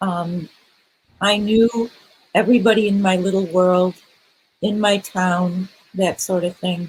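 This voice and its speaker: The voice is somewhat breathy and monotone, moving at a fairly slow pace with long, frequent pauses. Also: woman, medium pitch for a woman. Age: 60s. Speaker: panelist at a church conference session. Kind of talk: panel discussion. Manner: hesitant, many fillers.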